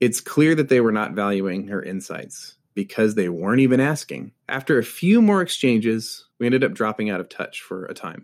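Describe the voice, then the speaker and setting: A man's normal speaking voice, fairly quick, with lively intonation, on a very clean recording with a silent background. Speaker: podcast host. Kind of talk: scripted podcast intro and interview.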